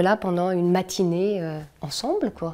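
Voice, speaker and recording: A woman's voice, dark and mellow in tone. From France. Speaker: cultural organizer and puppeteer. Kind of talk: interview. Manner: hesitant, many fillers.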